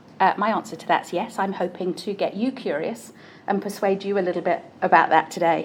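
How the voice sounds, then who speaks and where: A woman with a British accent talks at a fairly quick pace. Her intonation is fairly even, but her loudness swings widely. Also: medium pitch for a woman. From UK. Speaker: neuroscience-based coach. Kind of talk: conference talk.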